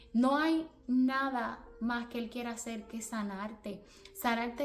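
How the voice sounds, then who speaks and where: A woman speaks with a Puerto Rican accent. Her pitch is fairly high. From Puerto Rico. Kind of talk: religious motivational talk. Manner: repetitive, earnest.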